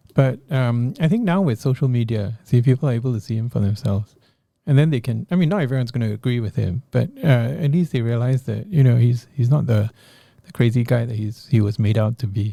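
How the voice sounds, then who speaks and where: Speaking at a very fast pace, a man has a medium pitch, ordinary pitch variation, a somewhat breathy, dark and mellow tone, and a dry, close sound with no echo. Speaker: politician and infectious disease professor. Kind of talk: interview.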